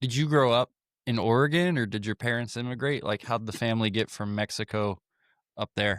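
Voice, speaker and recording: In a very clean recording with a silent background and a dry, close sound with no echo, a man with an American accent and a plain, everyday voice speaks at a fairly quick pace, medium pitch and ordinary pitch variation. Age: 30s. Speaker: podcast host and horse trainer. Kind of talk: casual interview.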